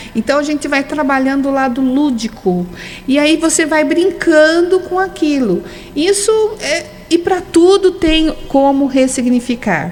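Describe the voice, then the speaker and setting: Lively in intonation, a woman with a high voice speaks at a fairly slow pace against noticeable background noise. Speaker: holistic therapist, hypnotherapist. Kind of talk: radio interview.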